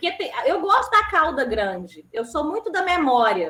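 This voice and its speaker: Over noticeable background noise, a woman raises and projects her high voice at a moderate pace with very wide pitch swings. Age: 30s. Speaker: panel moderator. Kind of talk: panel discussion.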